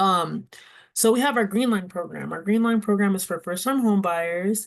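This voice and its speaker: Medium pitch from a woman, with ordinary pitch variation. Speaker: nonprofit housing program presenter. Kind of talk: presentation at a community board meeting. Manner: fast; casual, with many fillers.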